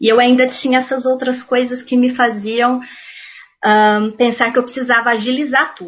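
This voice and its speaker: The woman's pitch is high. Her intonation is fairly even. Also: moderate pace. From Minas Gerais, Uberaba. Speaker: art history teacher and podcast host. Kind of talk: casual chat.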